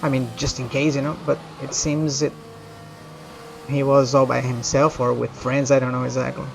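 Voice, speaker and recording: A man with a Brazilian accent at a medium pitch and moderate pace, fairly even intonation, long, frequent pauses, and music in the background. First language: Portuguese. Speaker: video game streamer. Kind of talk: live gameplay commentary, casual chat.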